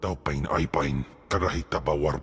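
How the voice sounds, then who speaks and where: Using a put-on character voice, a man growls his words at a moderate pace. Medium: video game. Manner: speaks an alien tongue.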